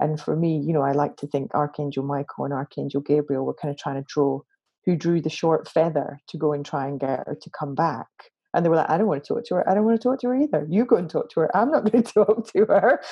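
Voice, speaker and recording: This woman speaks very fast with a Glaswegian accent. Her pitch is very deep and low, and her intonation is lively. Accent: Glaswegian Scottish. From Scotland, Glasgow. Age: 40s. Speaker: interfaith minister. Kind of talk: casual interview conversation.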